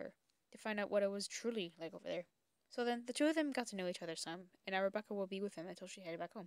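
The pitch shifts in an ordinary way. The voice is a natural reading voice.

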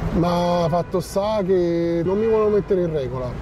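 Over noticeable background noise, a man talks at a high pitch with fairly even intonation, the sound dry with no echo. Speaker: interviewee. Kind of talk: interview answer. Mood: weary, subdued. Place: garden. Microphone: lapel.

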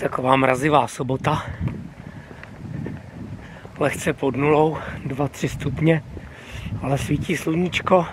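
A man speaks at a fairly slow pace with fairly even intonation, in a dry recording with no echo and noticeable background noise. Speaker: hiking vlogger. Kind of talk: casual vlog chat. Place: street. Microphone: phone near.

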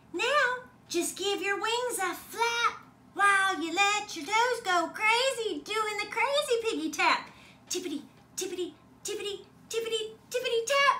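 The voice sits at an extremely high pitch and moves at a moderate pace. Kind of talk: bedtime story. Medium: read story. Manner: sing-song, rhythmic, playful.

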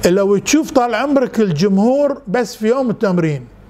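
Pitched high, a man talks at a fairly slow pace with ordinary pitch variation. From Bahrain, Manama; Bahrain. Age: 70s. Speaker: scout leader and visual artist; interviewee. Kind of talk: interview. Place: home room. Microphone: lapel.

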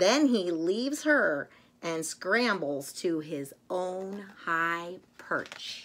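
Fairly bright in tone, the voice moves at a very slow pace with lively intonation. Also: woman, fairly low pitch for a woman.

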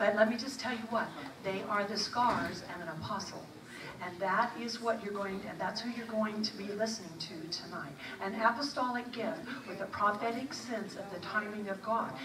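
A woman at a moderate pace with ordinary pitch variation, against noticeable background noise. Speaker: event host introducing speaker. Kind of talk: speaker introduction. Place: church.

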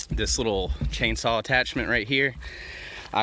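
With light background noise, a man speaks at a moderate pace in a bright, sharp tone. His pitch varies normally, and the sound is dry with no echo. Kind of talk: tutorial. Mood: relaxed, joking. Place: garden. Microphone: phone near.

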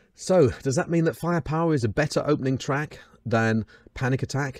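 With a British accent and lively intonation, a man speaks over a quiet background in a dry sound with no echo. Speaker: metal YouTuber. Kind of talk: album ranking review, scripted-style commentary. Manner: animated, humorous. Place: home room. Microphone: studio mic.

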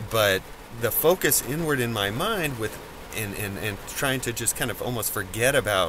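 A man speaks at a fairly slow pace. The sound is dry with no echo, with light background noise. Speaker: vlogger. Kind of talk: casual vlog chat. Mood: calm, relaxed. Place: car. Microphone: phone near.

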